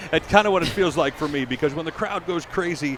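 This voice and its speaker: Over noticeable background noise, a man talks at a fairly quick pace. His pitch is fairly high. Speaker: public address announcer for pro basketball and football teams. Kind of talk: interview answer.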